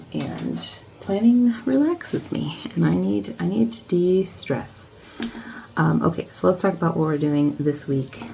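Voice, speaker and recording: Noticeable background noise under a soft-spoken woman's voice. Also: fairly slow pace. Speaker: academic and planner vlogger. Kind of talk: casual vlog. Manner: halting.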